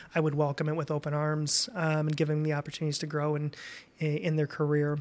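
With a Midwestern American accent, a man talks at a very fast pace in a fairly high pitch. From Indiana, Fort Wayne. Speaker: credit union CEO. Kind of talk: casual interview. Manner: hesitant, many fillers.

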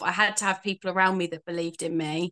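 A woman with a London accent speaks in a medium pitch with a bright, sharp tone. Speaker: makeup artist and life coach. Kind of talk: casual interview chat.

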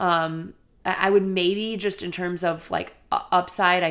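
Over a silent background in a very clean recording, a woman speaks with monotone, flat intonation. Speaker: sports podcast host. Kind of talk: casual solo podcast monologue. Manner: casual, conversational, filler words.

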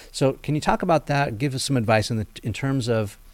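Here a man talks. His voice shows ordinary pitch variation. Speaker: podcast host. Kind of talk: interview. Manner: calm.

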